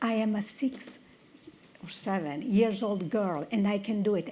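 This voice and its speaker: A woman speaks at a medium pitch with an Italian accent. There is audible room echo. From northern Italy. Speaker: technology executive. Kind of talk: conference talk.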